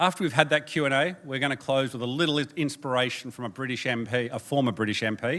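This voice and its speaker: In an Australian accent, a man races along at a very fast pace with hardly any pauses. The recording is very clean, the background silent. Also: medium pitch for a man, ordinary pitch variation. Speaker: presenter at a democracy organisation. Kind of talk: conference presentation. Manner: animated.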